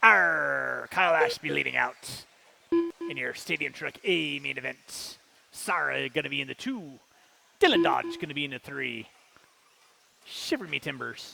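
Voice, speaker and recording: It's a put-on character voice at a moderate pace. Long pauses come often. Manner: gruff, theatrical.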